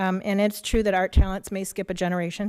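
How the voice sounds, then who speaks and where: On a very clean recording with a silent background, a woman with a Midwestern US accent speaks in a monotone, flat intonation. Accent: US Midwest. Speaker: public commenter, local village trustee. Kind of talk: public comment read from notes. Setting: school board meeting.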